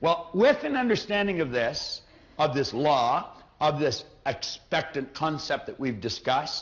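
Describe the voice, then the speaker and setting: A man with a fairly high pitch and a normal speaking voice talks at a moderate pace with lively intonation. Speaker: motivational speaker. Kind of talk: motivational seminar talk.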